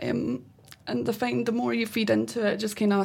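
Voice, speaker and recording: A woman speaks with a Scottish accent. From Scotland. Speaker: wheelchair football player. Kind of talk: casual chat. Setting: studio.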